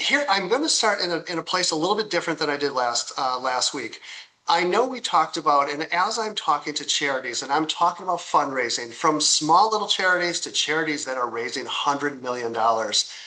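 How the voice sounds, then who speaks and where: A man talks at a fairly quick pace with lively intonation. He leaves hardly any pauses. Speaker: software company founder giving a product demo. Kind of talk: product demo tutorial. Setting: recorded live online demo. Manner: fast; halting, many repeats and fillers.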